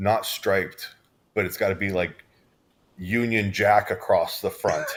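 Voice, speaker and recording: Fairly slow male speech with an American accent. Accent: American, sometimes mistaken for Canadian. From Southern California. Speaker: hypnotist show co-host. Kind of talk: casual chat.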